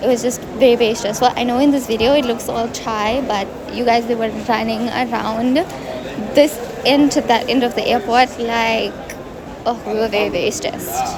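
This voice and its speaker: A woman with a fairly high pitch keeps a moderate pace and fairly even intonation. Noticeable background noise can be heard. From South Africa. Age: 20s. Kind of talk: travel vlog voice-over. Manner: casual, chatty.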